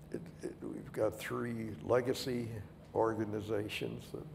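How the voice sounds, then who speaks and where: A man speaks at a fairly slow pace, with audible echo from the room. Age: 80s+. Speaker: retired company founder. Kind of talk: panel interview.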